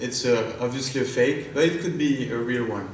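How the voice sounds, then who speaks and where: Speaking in a strong French accent, a man keeps a medium pitch and fairly even intonation at a fairly quick pace, with audible room echo around him. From France. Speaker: startup founder and CEO. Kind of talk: product demo pitch.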